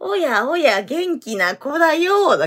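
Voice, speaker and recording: This put-on character voice sits at a high pitch and moves through very wide pitch swings. It goes along at a fairly slow pace. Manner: imitation of a film character.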